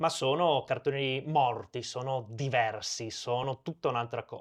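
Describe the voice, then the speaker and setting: With a Venetian accent, a man speaks at a fairly slow pace and with fairly even intonation. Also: medium pitch for a man. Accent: Venetian regional cadence. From Veneto, Italy (Portogruaro). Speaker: animator and cartoon creator. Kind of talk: interview conversation.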